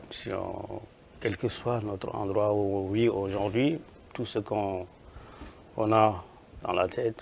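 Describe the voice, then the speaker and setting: A man speaks in a fairly low pitch that is somewhat breathy. His intonation stays fairly even. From Senegal. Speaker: football coach. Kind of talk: interview. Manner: repetitive, stammering restarts.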